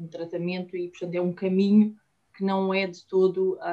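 A woman talks at a moderate pace and a fairly low pitch. Her tone is dark and mellow, her intonation monotone and flat. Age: 30s. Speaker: IVF patient. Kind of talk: interview testimony. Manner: halting.

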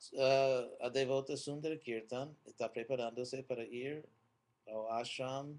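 Very slowly, the man talks at a medium pitch. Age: old. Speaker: Hare Krishna spiritual teacher. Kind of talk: religious talk; answering viewer questions. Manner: hesitant, many fillers.

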